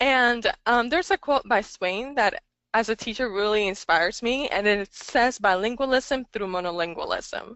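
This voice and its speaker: Lively intonation marks this woman's fairly high voice. She has a Spanish accent and a moderate pace. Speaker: English language teacher and webinar presenter. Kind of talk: webinar presentation. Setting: online webinar. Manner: hesitant, many fillers.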